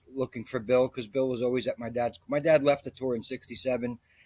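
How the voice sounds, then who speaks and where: A man's normal speaking voice at a medium pitch, fairly even in intonation, with a dry, close sound and no echo. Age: 60s. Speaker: golf instructor. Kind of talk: interview.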